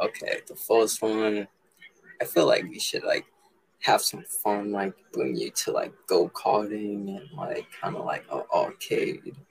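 A man with an American accent speaks at a very slow pace with big swings in loudness. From Massachusetts. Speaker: dating show contestant, musician. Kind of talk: casual chat.

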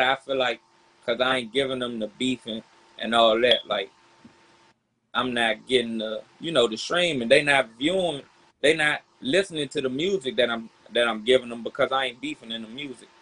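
An unremarkable speaking voice from a man with an American accent, medium pitch, moderate pace and ordinary pitch variation. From Southeast Washington DC. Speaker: rapper. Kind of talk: casual interview.

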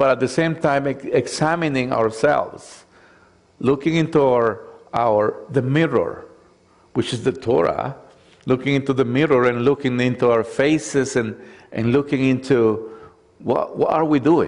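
A man with a non-native accent speaks at a fairly slow pace and medium pitch, with fairly even intonation and very even loudness. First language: not English. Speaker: messianic congregation preacher and Torah teacher. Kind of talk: sermon. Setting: congregation with slides. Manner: halting, many fillers.

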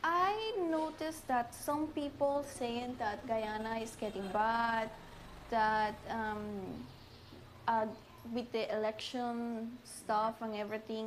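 A woman speaks very slowly in a Spanish accent, her pitch fairly high with ordinary variation. Noticeable background noise and audible room echo fill the recording. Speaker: immigrant. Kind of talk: interview.

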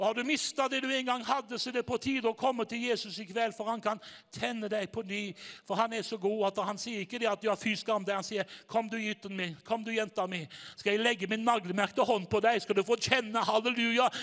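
Pitched high, a man's voice moves along at a fairly quick pace. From Norway, Haugesund. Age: 60s. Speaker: evangelist preacher. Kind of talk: sermon. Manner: animated.

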